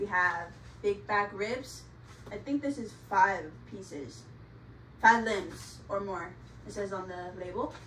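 Over light background noise and audible room echo, a woman talks at a very slow pace with long, frequent pauses and big swings in loudness. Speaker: home cook vlogger. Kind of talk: casual vlog chat. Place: home room. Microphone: phone near.

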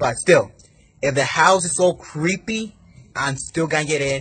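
The man's intonation is lively. He keeps a moderate speed. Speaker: vlogger. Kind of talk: casual vlog chat. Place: street. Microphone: phone near.

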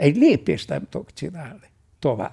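Vocal fry runs through a dark, mellow tone against a quiet background. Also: man. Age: 80s+. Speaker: meditation teacher. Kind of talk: Q&A talk at retreat. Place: home room.

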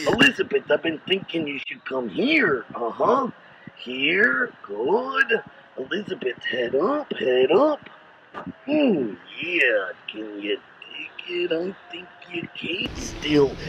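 A man uses a put-on character voice, high in pitch. He speaks in a raised, projected voice at a very slow pace. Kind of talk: talking to a pet alligator. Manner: exaggerated macho, swaggering.

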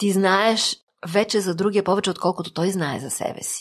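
A woman uses an ordinary speaking voice at a medium pitch and a moderate pace. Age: 50s. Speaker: psychotherapist. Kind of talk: interview.

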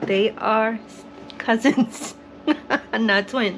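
Speech comes at a very slow pace with fairly even intonation over faint background noise. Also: woman, fairly high pitch for a woman.

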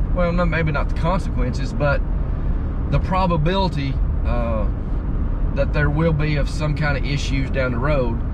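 A man at a moderate pace over loud background noise, in a dry sound with no echo. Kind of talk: casual vlog chat. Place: car. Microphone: camera far.

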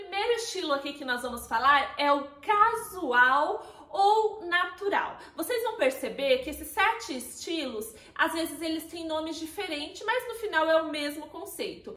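A woman speaks in a raised, projected voice with a bright, sharp tone and big swings in loudness. Audible room echo is present. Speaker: style consultant vlogger. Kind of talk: tutorial. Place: home room.

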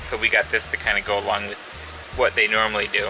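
Music runs in the background. Over it, a man speaks at a fairly quick pace. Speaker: parent vlogger. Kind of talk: casual vlog chat. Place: home room. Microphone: phone near.

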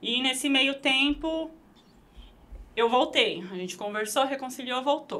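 Raised and projected, a woman's voice carries at a high pitch with a bright, sharp tone. She speaks at a fairly slow pace. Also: ordinary pitch variation. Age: 20s. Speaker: burger restaurant owner; guest. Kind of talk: interview conversation. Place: studio. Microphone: studio mic.

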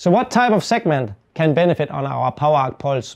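With a quiet background, a man keeps to a moderate pace. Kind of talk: product tutorial. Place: workshop. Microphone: lapel.

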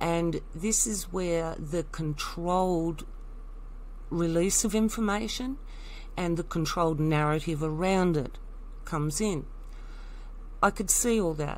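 A woman with an Australian accent speaks fairly slowly at a fairly low pitch, with ordinary pitch variation and long, frequent pauses. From Tasmania, Australia. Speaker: alternative commentator vlogger. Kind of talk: personal monologue.

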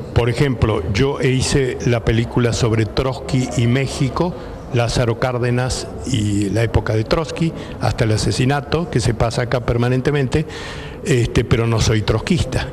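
Over noticeable background noise, a man with a Rioplatense accent talks at a fairly quick pace, with very even loudness and ordinary pitch variation. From Argentina. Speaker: documentary filmmaker. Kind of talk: interview. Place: hall. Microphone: handheld.

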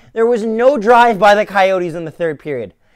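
A furious man shouts against a quiet background. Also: dry sound with no echo. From Winnipeg, Canada. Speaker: hockey fan podcaster. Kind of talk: angry rant about a team's loss. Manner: furious, sweary, shouting, sarcastic. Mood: frustrated, ranting. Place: home room. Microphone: phone near.

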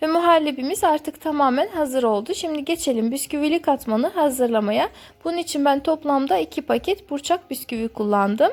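A woman with a high voice speaks with hardly any pauses. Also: moderate pace. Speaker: cooking channel host. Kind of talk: recipe voice-over narration.

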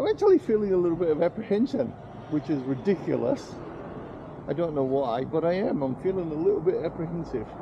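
Noticeable background noise behind a man's moderately paced speech. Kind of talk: casual vlog chat. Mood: slightly nervous, then amused. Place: street. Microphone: phone near.

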